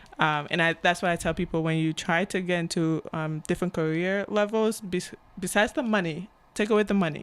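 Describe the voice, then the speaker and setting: With an African accent, this woman talks at a fairly quick pace in a fairly low pitch. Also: ordinary pitch variation, very clean recording, silent background. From Cameroon. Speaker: agile coach and author. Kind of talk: podcast interview.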